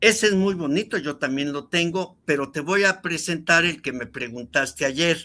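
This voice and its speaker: The tone is bright and sharp, delivered at a moderate pace with hardly any pauses. The recording is very clean, with a silent background. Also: man, fairly high pitch for a man, ordinary pitch variation. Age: 70s. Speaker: record collector. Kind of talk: casual chat.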